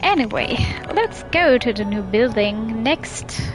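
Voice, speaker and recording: A woman with a non-native accent and a fairly high pitch, speaking at a fairly slow pace over music in the background. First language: not English. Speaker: game streamer. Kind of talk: reading visual novel text aloud.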